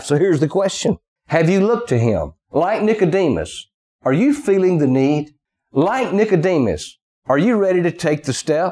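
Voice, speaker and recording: Using a Southern US accent, a man with a dark, mellow tone and a high pitch talks at a moderate pace with lively intonation. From US South. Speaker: preacher. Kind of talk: sermon.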